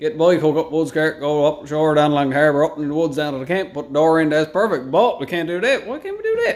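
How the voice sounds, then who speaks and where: A man speaks with a Newfoundland accent. His pace is very fast. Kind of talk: casual chat.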